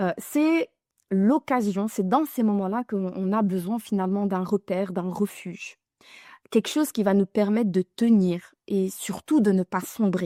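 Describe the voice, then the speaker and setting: Recorded dry and close with no echo against a silent background in a very clean recording, a woman speaks at a fairly slow pace in a dark, mellow tone. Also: medium pitch for a woman, ordinary pitch variation. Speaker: religious teacher. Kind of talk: religious lesson to women. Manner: halting, repeats words.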